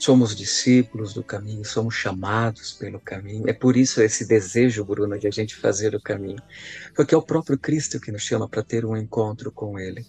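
Somewhat breathy, a man speaks fairly quickly at a fairly low pitch with ordinary pitch variation, the sound dry and close with no echo. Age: 40s. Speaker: priest. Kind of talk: casual chat.

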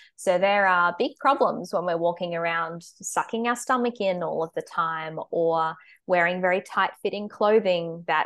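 Someone speaks with an Australian accent over a quiet background. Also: woman. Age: 20s. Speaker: dietitian. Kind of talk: casual interview chat. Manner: hesitant, many fillers.

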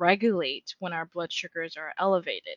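With an American accent, a woman speaks at a fairly quick pace in an ordinary speaking voice with a fairly low pitch. The recording has a dry, close sound with no echo. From US, California. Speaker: clinical pharmacist. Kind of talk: interview.

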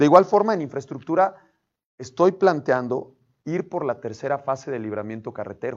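A man speaks in an unremarkable speaking voice, fairly high in pitch, with lively intonation, big swings in loudness and a moderate pace. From San Martín Texmelucan, Puebla, Mexico. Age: 30s. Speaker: local political candidate. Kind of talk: interview.

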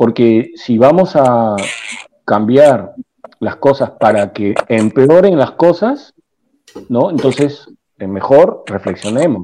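A man at medium pitch speaks at a very slow pace, with lively intonation and long, frequent pauses. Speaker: party representative. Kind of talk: panel debate. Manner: hesitant, many fillers.

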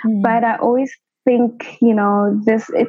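At a moderate pace, a woman with a Lesotho accent speaks with fairly even intonation. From South Africa, Soweto (Johannesburg). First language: Sesotho. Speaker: medical doctor. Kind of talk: interview.

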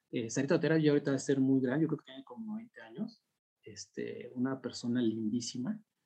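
A man talks in a normal speaking voice. His pitch sits at a medium level and varies in an ordinary way. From Mexico City (Ajusco). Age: 40s. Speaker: UFO sighting witness and enthusiast. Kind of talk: casual chat.

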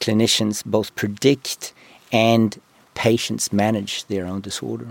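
The recording is dry and close with no echo, capturing a man of medium pitch who has a New Zealand accent. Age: 50s. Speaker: medtech company CEO. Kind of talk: interview conversation.

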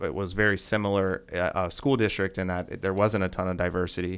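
In a very clean recording with a silent background, a man with a very deep, low pitch speaks in a monotone, flat intonation. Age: 40s. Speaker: teacher and podcast host. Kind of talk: casual interview.

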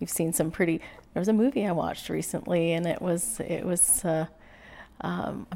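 A woman's plain, everyday voice, fairly low in pitch, at a moderate pace. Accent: Canadian. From British Columbia, Canada. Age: 40s. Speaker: small-town mayor. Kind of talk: interview conversation.

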